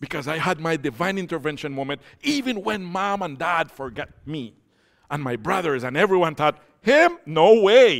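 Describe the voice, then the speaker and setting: Speaking at a moderate pace, a man with a high voice sounds animated, his intonation lively. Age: 50s. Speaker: pastor. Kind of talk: sermon. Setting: church.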